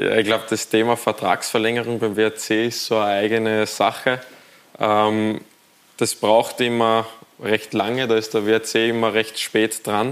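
With noticeable background noise behind him, a man speaks at medium pitch and a fairly slow pace in a flat monotone with very even loudness. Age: 20s. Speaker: professional footballer. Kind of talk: TV studio talk interview. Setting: TV studio.

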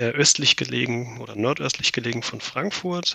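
A man with lively intonation at a fairly slow pace, against noticeable background noise. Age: 30s. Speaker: amateur pilot, flying club member. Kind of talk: podcast interview.

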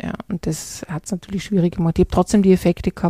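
The voice is somewhat breathy with a dark, mellow tone and fairly even intonation, recorded with a dry, close sound and no echo. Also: woman. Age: 40s. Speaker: leadership consultant and podcast host. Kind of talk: solo podcast monologue.

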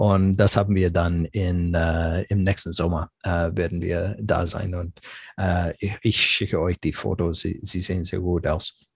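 In an English accent, a man with a very deep, low pitch talks at a fairly slow pace, somewhat breathy and fairly even in intonation, in a dry, close sound with no echo. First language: English (speaking German). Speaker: software company manager. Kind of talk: interview. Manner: halting, many fillers.

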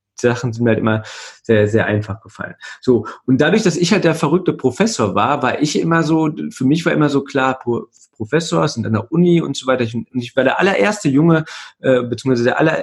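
A fairly high-pitched man, somewhat breathy, talking at a very fast pace with lively intonation. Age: 30s. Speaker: email marketing consultant. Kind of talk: interview. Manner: hesitant, many filler sounds.

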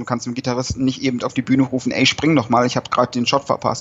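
Speaking at a medium pitch, a man keeps a monotone, flat intonation throughout. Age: 20s. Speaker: hobby concert photographer. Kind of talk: casual interview.

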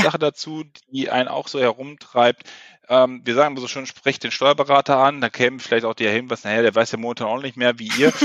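His pitch sits in the medium range, his intonation fairly even. This man speaks very fast. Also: dry, close sound with no echo. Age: 30s. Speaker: ERP software consultant. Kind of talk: podcast interview.

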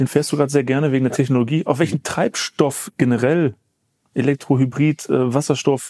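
A man's fairly high-pitched voice with a dark, mellow tone and ordinary pitch variation, recorded very cleanly against a silent background, with a dry, close sound and no echo. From Germany, Essen. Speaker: car podcast host. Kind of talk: interview. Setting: company premises.

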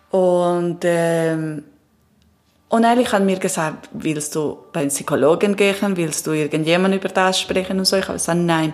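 With an Italian accent, a woman speaks at a moderate pace in a fairly low pitch and fairly even intonation. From Italy and Peru. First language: Italian (speaking German). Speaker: transpersonal coach. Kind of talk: interview testimony. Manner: halting.

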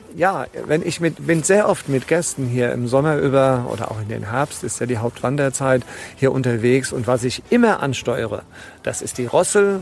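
Noticeable background noise sits behind a man speaking at a medium pitch and a fairly slow pace with ordinary pitch variation. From Rheingau, Hesse. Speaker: tour guide. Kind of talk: interview. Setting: outdoors on a hiking trail.

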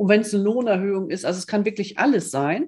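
Against a quiet background, a woman talks at a fairly quick pace with lively intonation. Her medium-pitched voice has a dark, mellow tone and is somewhat breathy. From northern Germany (Osnabrück). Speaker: coach, podcast co-host. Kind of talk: casual chat.

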